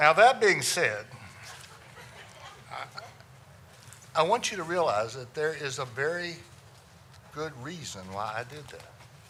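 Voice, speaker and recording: With an American accent, a man speaks at a fairly slow pace and a fairly high pitch, with long, frequent pauses. His pitch swings very widely and his loudness varies greatly, over noticeable background noise. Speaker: funeral director. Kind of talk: talk to a local audience.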